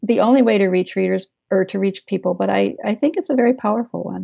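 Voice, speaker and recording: In a normal speaking voice, a woman with an American accent talks at a fairly quick pace, at a medium pitch with ordinary pitch variation. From Maryland. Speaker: author and historian. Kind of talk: interview.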